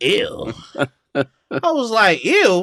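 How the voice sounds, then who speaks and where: Bright and sharp in tone, this man speaks with an American accent. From US South, Georgia. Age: 30s. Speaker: comedian. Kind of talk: casual chat.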